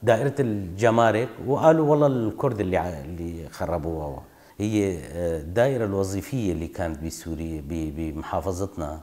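A man with a Kurdish accent speaks fairly slowly, with hardly any pauses, in a very deep, low, dark and mellow voice. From northeastern Syria, Qamishli area (Kurdish village); Syria. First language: Kurdish (speaking Arabic). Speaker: oral history interviewee; interviewee. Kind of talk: testimony. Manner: halting. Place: home room.

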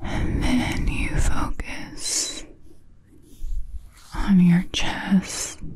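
In a put-on character voice, a female-sounding speaker whispers breathily at a very slow pace, leaving long, frequent pauses. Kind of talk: guided relaxation. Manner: breathy whisper.

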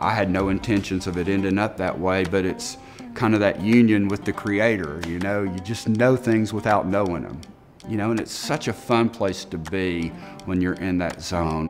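Backed by clear music, a man speaks at a moderate pace in a fairly low pitch with ordinary pitch variation. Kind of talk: interview answer. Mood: reflective, warm. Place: workshop. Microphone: lapel.

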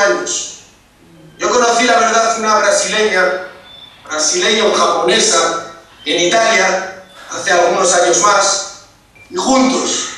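Over strong room echo, a man uses a raised, projected voice at a fairly slow pace with ordinary pitch variation. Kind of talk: interview answer. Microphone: video call.

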